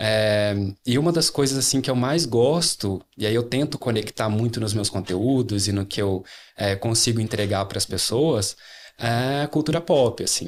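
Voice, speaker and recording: The recording is very clean, with a silent background. A man speaks at a fairly slow pace and medium pitch, with very even loudness and ordinary pitch variation. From interior of Rio de Janeiro state, Brazil (near Minas border). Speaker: user researcher and designer. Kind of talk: podcast interview. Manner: casual with many filler hesitations.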